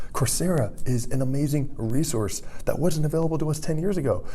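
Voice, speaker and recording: Pitched fairly high, a man speaks in an animated tone with very wide pitch swings. Audible room echo and noticeable background noise surround him. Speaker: vlogger. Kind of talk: casual vlog monologue.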